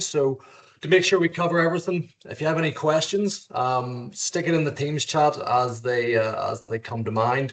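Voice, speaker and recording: In an Irish accent, a man with a fairly high pitch talks at a moderate pace and ordinary pitch variation. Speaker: lawyer and contracts trainer. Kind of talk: webinar lecture. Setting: video call. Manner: casual, hesitant with fillers.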